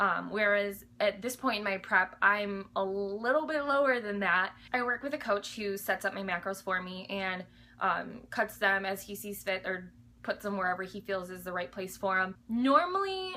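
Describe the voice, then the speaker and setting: The voice has an animated, bright, sharp tone, big swings in loudness, ordinary pitch variation and a moderate pace. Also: woman, medium pitch for a woman. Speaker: fitness vlogger, bikini competitor. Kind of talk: casual Q&A vlog. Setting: home alone.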